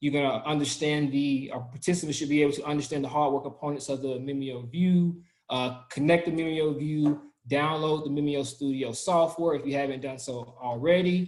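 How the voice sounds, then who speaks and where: Fairly quick and fairly even in intonation, a man talks in a Southern US accent. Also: fairly high pitch for a man. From US South. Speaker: product trainer. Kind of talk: online training session.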